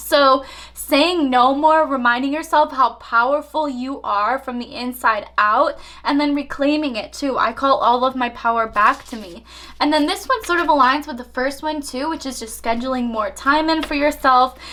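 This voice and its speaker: A woman speaks in a raised, projected, high voice with an animated tone. Her pace is moderate and her pitch varies in an ordinary way. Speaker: tarot reader. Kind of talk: tarot reading monologue.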